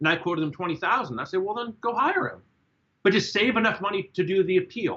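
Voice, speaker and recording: This man talks with ordinary pitch variation. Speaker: court-martial defense lawyer. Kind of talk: casual discussion. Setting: group call. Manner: fast; animated.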